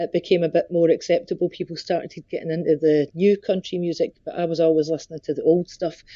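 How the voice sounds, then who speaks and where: A woman with a Scottish accent races along at a very fast pace with hardly any pauses and a monotone, flat intonation. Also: fairly low pitch for a woman. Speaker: country singer. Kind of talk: interview.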